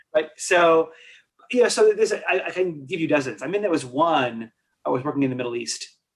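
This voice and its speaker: Speaking at a fairly quick pace with an American accent, a man uses lively intonation at a fairly high pitch. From New York. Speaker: leadership consultant. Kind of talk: podcast interview. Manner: fast; halting, many false starts.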